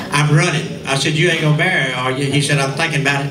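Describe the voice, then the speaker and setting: A man with a Southern US accent, audible room echo and noticeable background noise. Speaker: radio host and entertainer. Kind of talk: storytelling speech to a class reunion audience. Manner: animated.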